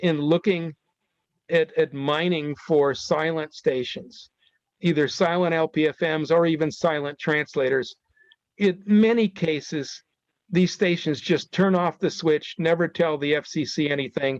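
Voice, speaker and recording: A man with an ordinary speaking voice talks at a fairly high pitch and a fairly slow pace, with ordinary pitch variation. His loudness stays very even, and the sound is dry and close with no echo. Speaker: broadcast engineering consultant presenter. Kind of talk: webinar presentation.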